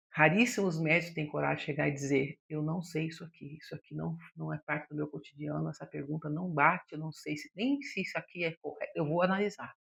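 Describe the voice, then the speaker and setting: This woman's pitch is very deep and low, with vocal fry and fairly even intonation. She talks at a fairly quick pace with hardly any pauses and big swings in loudness. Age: 60s. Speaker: psychologist. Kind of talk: podcast monologue.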